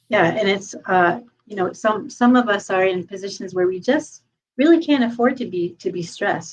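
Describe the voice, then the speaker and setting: Talking at a fairly quick pace, a woman has a plain, everyday voice and ordinary pitch variation. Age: 60s. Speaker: podcast host and sound therapist. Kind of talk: casual chat.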